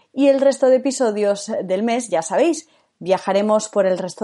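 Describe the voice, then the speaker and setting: A woman speaks at a fairly slow pace and medium pitch, her tone dark and mellow, with ordinary pitch variation and a quiet background. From Spain, Galicia. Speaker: podcast host, former radio presenter. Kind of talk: scripted narration.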